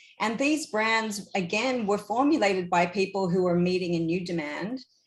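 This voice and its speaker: Lively intonation from a woman with an Australian accent. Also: medium pitch for a woman, moderate pace, very even loudness. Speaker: surf industry executive. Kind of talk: panel discussion.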